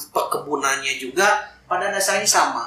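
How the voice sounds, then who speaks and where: Over noticeable background noise and audible room echo, a man talks at a fairly slow pace with lively intonation. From Indonesia, Garut (West Java). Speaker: coffee roaster and coffee shop owner. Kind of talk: casual interview. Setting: inside a coffee roastery.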